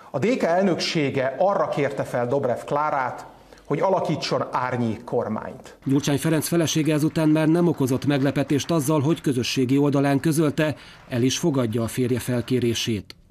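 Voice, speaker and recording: Through noticeable background noise, a man with a fairly high pitch talks at a moderate pace. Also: ordinary pitch variation, very even loudness. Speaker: news reporter. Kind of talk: scripted news narration.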